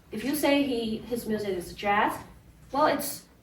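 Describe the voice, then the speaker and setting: In a Chinese accent, a woman speaks at a moderate pace. Her pitch is fairly high, and the room echo is audible. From China. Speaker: pianist. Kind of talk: spoken narration. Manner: casual, with fillers and restarts.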